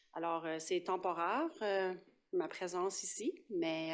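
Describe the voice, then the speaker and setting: A woman speaks at medium pitch with an Acadian accent. Her intonation stays fairly even. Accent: Acadian French accent, noticeable. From northeastern New Brunswick (Acadian), Paquetville. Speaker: police sergeant. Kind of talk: council meeting report. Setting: municipal council meeting. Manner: halting, many hesitations.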